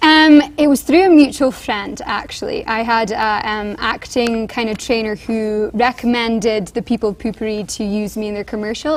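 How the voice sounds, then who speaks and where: Speaking with an English accent, a woman with a fairly high pitch and ordinary pitch variation keeps a moderate pace with hardly any pauses over noticeable background noise. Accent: Scottish-born, puts on English. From Scotland. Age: 20s. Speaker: actress in a commercial, student. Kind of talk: TV interview.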